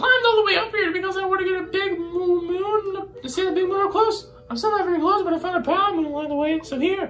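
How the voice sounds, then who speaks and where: A man's put-on character voice at an extremely high pitch and a very fast pace, over clear background noise. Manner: cheerful, friendly.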